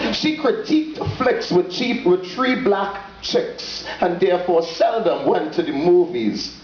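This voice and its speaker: Noticeable background noise sits behind a man with a Trinidadian accent. He speaks at a high pitch and a very slow pace, with very wide pitch swings. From Trinidad and Tobago. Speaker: poet. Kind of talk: dramatic spoken word poetry reading.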